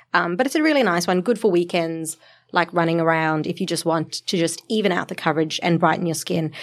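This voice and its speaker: In a very clean recording with a silent background, a woman with a fairly low voice talks at a very fast pace with ordinary pitch variation. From South Africa. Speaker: beauty editor, podcast co-host. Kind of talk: casual chat. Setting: studio.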